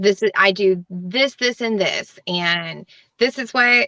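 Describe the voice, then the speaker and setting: A woman speaks at a fairly slow pace and a medium pitch. Her pitch varies in an ordinary way, and the sound is dry and close with no echo. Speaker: small business owner, participant. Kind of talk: casual spiritual conversation. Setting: live video session. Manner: voice shaking slightly.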